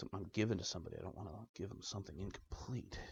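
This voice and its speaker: A man is whispering and mumbling. His voice is somewhat breathy. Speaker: DIY tech hobbyist. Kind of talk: tutorial with self-talk. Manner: whispering, mumbling to self.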